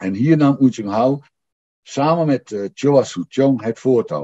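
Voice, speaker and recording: Speaking at a fairly slow pace, a man uses a dark, mellow tone and ordinary pitch variation. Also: quiet background. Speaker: historian. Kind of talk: lecture. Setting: stage with audience. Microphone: video call.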